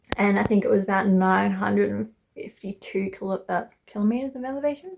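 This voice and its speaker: With an Australian accent, a woman talks at a very fast pace. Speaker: travel vlogger. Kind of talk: casual vlog narration. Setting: outdoors on a mountain trail.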